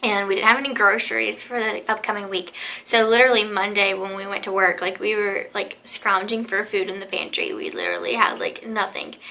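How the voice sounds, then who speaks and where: Over noticeable background noise, a woman talks at a fairly quick pace with hardly any pauses. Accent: American. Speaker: vlogger. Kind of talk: casual vlog talk. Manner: chatty, filler-heavy.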